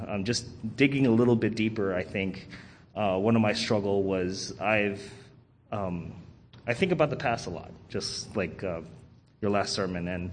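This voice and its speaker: Audible room echo surrounds a man's voice. He speaks at a fairly low pitch with ordinary pitch variation. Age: 30s. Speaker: church member, bass player. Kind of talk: testimony. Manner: halting, many fillers.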